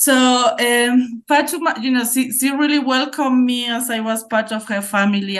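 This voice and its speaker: With a Spanish accent, a woman speaks at a moderate pace with ordinary pitch variation, and audible room echo surrounds her voice. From Spain. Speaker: academic researcher. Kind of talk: conference presentation.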